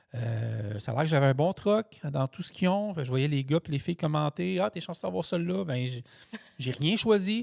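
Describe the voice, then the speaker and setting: The voice has an animated tone and very wide pitch swings at a moderate pace. The sound is dry and close, with no echo. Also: man, fairly high pitch for a man. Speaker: truck driver and podcast host. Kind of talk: casual chat.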